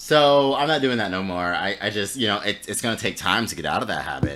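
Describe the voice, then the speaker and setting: In an American accent, a man speaks at a fairly quick pace with a bright, sharp tone, vocal fry and very wide pitch swings. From Florida. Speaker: podcast co-host. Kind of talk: casual chat. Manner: halting.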